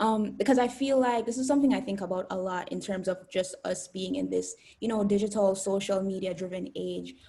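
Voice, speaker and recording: A somewhat breathy woman with a Jamaican accent, medium in pitch, at a fairly quick pace. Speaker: student YouTuber. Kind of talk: interview. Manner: hesitant, many fillers; bubbly.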